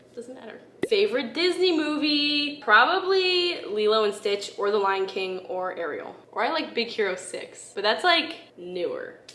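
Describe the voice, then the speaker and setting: A woman with an American accent speaks at a moderate pace in a high voice, her pitch swinging very widely and her loudness rising and falling sharply, with light background noise and audible room echo. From upstate New York. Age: 20s. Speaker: YouTuber. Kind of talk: casual Q&A vlog. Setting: home recording. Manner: casual, filler-heavy (like). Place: home room.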